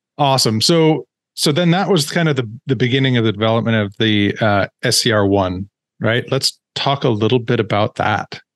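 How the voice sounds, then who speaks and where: A man's ordinary speaking voice at medium pitch, with lively intonation, a moderate pace and very even loudness, in a dry, close sound with no echo against a quiet background. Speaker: podcast host. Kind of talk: interview.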